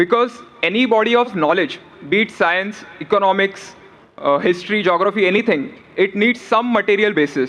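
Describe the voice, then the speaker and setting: With ordinary pitch variation, this man speaks at a moderate pace. His voice is high in pitch. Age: young. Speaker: audience questioner, student. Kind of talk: audience question. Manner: formal.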